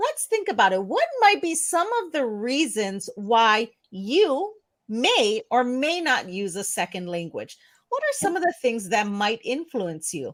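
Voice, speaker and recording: Using very wide pitch swings, a woman with an American accent speaks at a fairly slow pace and high pitch. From US, family from India. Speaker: ESL teacher and channel host. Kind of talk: live stream discussion. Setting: live stream.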